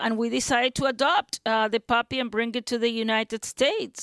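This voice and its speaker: With a Uruguayan accent, a woman talks in a fairly high voice, the sound dry and close with no echo. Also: very clean recording, silent background. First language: Spanish. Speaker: academic specializing in Uruguayan theater. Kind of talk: interview.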